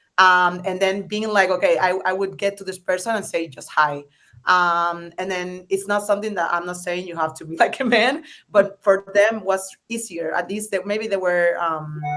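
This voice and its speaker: A woman with a strong Spanish accent speaks at a medium pitch and a moderate pace, her tone bright and sharp and her intonation fairly even. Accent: thick Spanish. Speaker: startup founder. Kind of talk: panel discussion. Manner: hesitant, many fillers.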